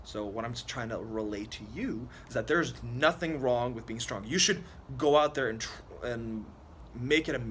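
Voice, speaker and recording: A man speaks at a medium pitch with vocal fry. The room echo is audible. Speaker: fitness youtuber. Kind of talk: casual vlog monologue.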